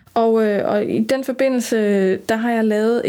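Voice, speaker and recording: A woman speaks at a very slow pace with a fairly high pitch. Her intonation stays fairly even. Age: 40s. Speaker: former funeral worker and death activist. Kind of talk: interview conversation.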